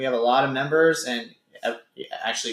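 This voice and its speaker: In an American accent, a man with a normal speaking voice talks at a fairly quick pace and keeps a fairly even intonation. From California. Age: 20s. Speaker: gym owner and fitness coach. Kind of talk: casual chat.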